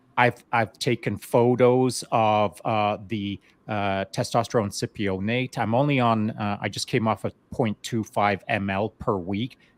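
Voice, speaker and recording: In a normal speaking voice, a man talks at a fairly slow pace with hardly any pauses, fairly low pitch and fairly even intonation, the sound dry and close with no echo. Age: 60s. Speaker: veteran guest on podcast. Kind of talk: casual chat. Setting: live online show.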